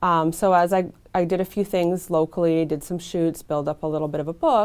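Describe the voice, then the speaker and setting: A woman's fairly low-pitched, normal speaking voice at a fairly quick pace, on a very clean recording with a silent background. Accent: Canadian. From Canada (Vancouver, British Columbia). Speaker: model and actress. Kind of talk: interview.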